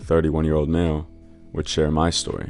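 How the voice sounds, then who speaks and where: Over music in the background, a man with a very deep, low pitch speaks at a moderate pace. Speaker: story narrator. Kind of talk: reddit story narration.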